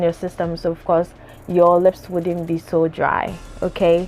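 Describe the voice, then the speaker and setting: Noticeable background noise surrounds the recording. A woman talks at a fairly slow pace. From Ghana. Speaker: beauty vlogger. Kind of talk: casual tutorial. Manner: casual, with many fillers.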